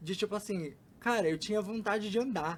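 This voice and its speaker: A man with a high pitch, ordinary pitch variation and a moderate pace. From São Paulo, Brazil (East Zone). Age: 20s. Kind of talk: podcast interview.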